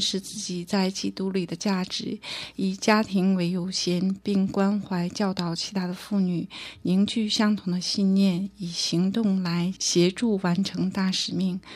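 Her intonation monotone and flat, a woman with a medium pitch speaks at a very slow pace. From northeast China (Harbin). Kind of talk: testimony.

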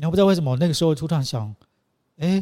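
A man speaks with a dark, mellow tone that is somewhat breathy. His intonation is lively, and the recording is very clean with a silent background. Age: 50s. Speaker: choreographer. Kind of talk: casual interview.

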